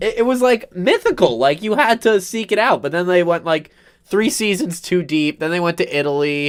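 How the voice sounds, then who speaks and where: The speaker has an American accent and lively intonation. Delivery comes at a moderate pace. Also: man, high pitch for a man. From New Jersey. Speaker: podcast co-host. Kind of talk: casual chat.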